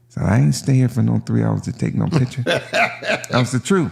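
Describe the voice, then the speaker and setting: A man with an American accent talks at a moderate pace over noticeable background noise. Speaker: podcast host. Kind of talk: casual podcast talk.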